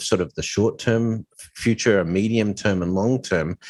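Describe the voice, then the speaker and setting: Speaking with an Australian accent, a man keeps a moderate pace and medium pitch. His pitch variation is ordinary. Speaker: podcast co-host. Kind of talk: casual chat. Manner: hesitant, many fillers.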